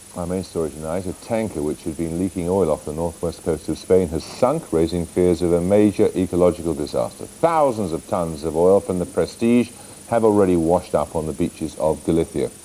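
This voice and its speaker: Over noticeable background noise, a man with a very deep, low pitch speaks at a fairly quick pace with ordinary pitch variation. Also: hardly any pauses. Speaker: news presenter and interviewer. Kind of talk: TV news interviewer and presenter.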